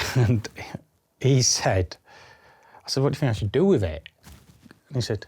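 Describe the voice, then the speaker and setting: On a very clean recording with a silent background, a man with a Yorkshire accent talks at a very fast pace in a somewhat breathy, medium-pitched voice with very wide pitch swings. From Yorkshire, England (Bridlington). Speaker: spinal cord injury survivor and adventurer. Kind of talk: casual interview chat.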